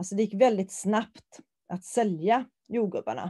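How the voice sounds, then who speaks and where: Over a quiet background, a woman speaks in a dark, mellow tone at a fairly high pitch with lively intonation. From Sweden, Varberg (Halland). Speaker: teacher. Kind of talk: recorded lecture. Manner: halting, with filler sounds.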